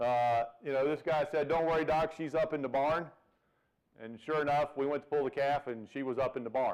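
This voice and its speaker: The speaker has a Virginia accent, talks at a fairly quick pace, and varies pitch in an ordinary way. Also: man. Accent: Virginia Southern. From Virginia, US. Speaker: veterinarian professor. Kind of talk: seminar lecture. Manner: folksy, humorous.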